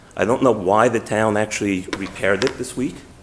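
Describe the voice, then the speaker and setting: Someone with a New York accent talks at a fairly quick pace with ordinary pitch variation. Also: man. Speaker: resident speaking at public meeting. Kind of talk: public comment. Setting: town meeting hall.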